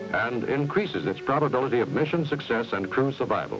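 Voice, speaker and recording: Over background music, a man with an American accent speaks at a medium pitch. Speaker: narrator. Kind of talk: promotional film narration.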